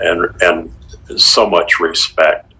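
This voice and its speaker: Noticeable noise sits behind a man as he talks. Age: 70s. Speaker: victim's family member. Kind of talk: interview. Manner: halting, repeats words.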